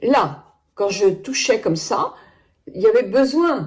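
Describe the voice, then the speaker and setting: Somewhat breathy and fairly high in pitch, a woman speaks at a very slow pace. Her pitch swings very wide. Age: 70s. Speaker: beauty product reviewer. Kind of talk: product review. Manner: chatty, hesitant.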